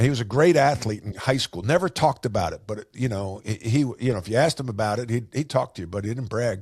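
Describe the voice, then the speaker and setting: Very fast and with hardly any pauses, a man speaks at medium pitch with ordinary pitch variation and a somewhat breathy voice on a very clean recording with a silent background. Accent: American. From US Northeast, Long Island, New York. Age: 60s. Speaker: business coach, former basketball player and coach. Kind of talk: podcast interview.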